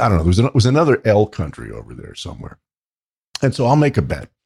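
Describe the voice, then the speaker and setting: A man's dark, mellow, somewhat breathy voice with very wide pitch swings, recorded dry and close with no echo. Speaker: podcast co-host. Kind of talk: casual chat.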